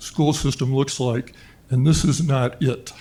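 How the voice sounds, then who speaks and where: Fairly slow male speech, dark and mellow in tone and somewhat breathy. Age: 70s. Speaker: public commenter at school board meeting. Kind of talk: public comment.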